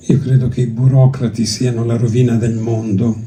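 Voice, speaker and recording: A man with a Greek accent at medium pitch, fairly slow and monotone with flat intonation, plus audible room echo. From Greece, then Italy from age six. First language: Greek (speaking Italian). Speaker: poetry publisher. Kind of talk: festival talk. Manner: hesitant, with fillers and restarts.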